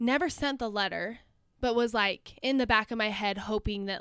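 A woman speaks with an American accent in an ordinary speaking voice. Her pace is moderate and her pitch variation ordinary. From northern Utah, US. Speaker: grad student and Instagram creator. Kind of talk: casual chat.

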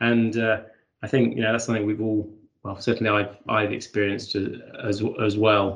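A man with a fairly low pitch and an unremarkable speaking voice, at a moderate pace. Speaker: podcast host and law firm partner. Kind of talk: casual panel conversation.

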